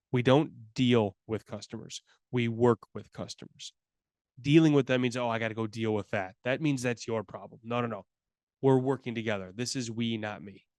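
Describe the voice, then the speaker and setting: The sound is dry and close with no echo, and the voice keeps fairly even intonation while its loudness swings widely. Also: man, medium pitch for a man. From US Midwest, Chicago. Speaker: customer service consultant. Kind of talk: webinar presentation. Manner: fast.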